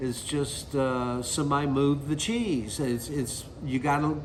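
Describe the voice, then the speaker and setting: Someone speaks at a fairly slow pace with a Southern US accent. Audible room echo surrounds the voice. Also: man. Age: 60s. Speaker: singer-songwriter. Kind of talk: interview monologue. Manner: casual, conversational.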